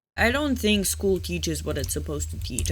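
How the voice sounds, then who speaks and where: Room echo can be heard clearly. It rings around a man's voice. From Serbia. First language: Serbian. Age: 20s. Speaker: gaming YouTuber. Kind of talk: casual gameplay chat. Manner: halting, unfinished sentences.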